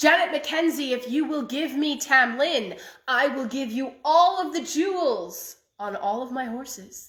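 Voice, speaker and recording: A put-on character voice at a moderate pace. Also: woman, high pitch for a woman. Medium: read story. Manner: formal, cold, commanding.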